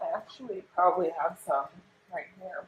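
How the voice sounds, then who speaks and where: A woman's bright, sharp tone at a moderate pace. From US South, northwest Georgia. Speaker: fashion vlogger and online reseller. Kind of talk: casual vlog talk to camera. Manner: chatty, rambling with fillers.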